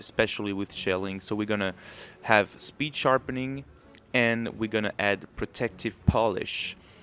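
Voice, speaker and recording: Speaking with a French accent, a man at medium pitch keeps a moderate pace and fairly even intonation. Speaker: gaming video creator. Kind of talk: tutorial.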